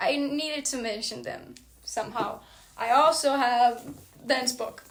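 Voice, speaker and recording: A woman's high-pitched voice at a fairly slow pace, over noticeable background noise. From Brazil. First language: Portuguese. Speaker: book vlogger. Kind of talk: casual monologue. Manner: animated.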